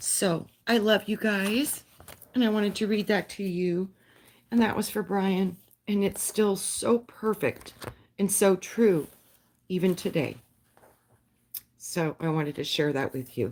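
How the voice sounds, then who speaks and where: Using a put-on character voice, a woman speaks raspily at a medium pitch and a fairly slow pace, with long, frequent pauses. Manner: heartfelt, sincere.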